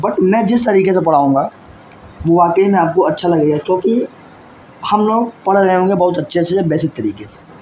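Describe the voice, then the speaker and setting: Speaking at a fairly slow pace, a man has a high pitch with ordinary pitch variation. Noticeable background noise is present. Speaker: maths teacher. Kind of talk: lecture. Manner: soft-spoken.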